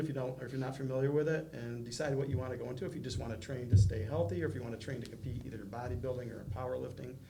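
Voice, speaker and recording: A very fast man with an American accent, big swings in loudness and audible room echo. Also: hardly any pauses. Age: 60s. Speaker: city mayor. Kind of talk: casual interview. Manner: hesitant, many fillers.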